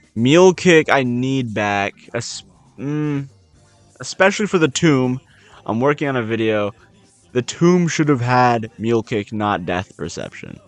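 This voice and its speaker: With music in the background, a man speaks at a fairly slow pace and with lively intonation, the sound dry and close with no echo. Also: medium pitch for a man. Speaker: gaming content creator. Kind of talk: casual gaming commentary.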